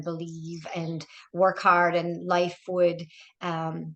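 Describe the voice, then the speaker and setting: With an Irish accent, a woman talks at a fairly slow pace and a fairly low pitch. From Ireland, small mountain town. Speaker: diocesan ministry director and author. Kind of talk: casual interview chat.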